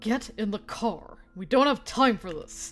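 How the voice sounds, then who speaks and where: Putting on a character voice, a woman speaks at a fairly high pitch and a fairly slow pace with big swings in loudness. Hissing and faint music sit in the background. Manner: hissing, curt.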